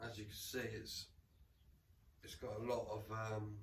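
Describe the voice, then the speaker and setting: A man speaks in a somewhat breathy voice with an English Midlands accent. Audible room echo comes through. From England, Rutland. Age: 40s. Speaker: camping vlogger. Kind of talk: casual gear walkthrough. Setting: at home in lounge. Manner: casual, repetitive stammering.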